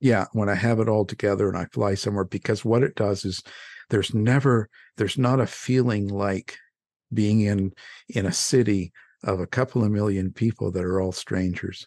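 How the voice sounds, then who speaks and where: A man's ordinary speaking voice with a Canadian accent, fairly low in pitch, at a moderate pace with fairly even intonation, in a dry, close sound with no echo against a quiet background. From Canada. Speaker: radio host and true crime author. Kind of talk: casual interview. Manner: laughs often.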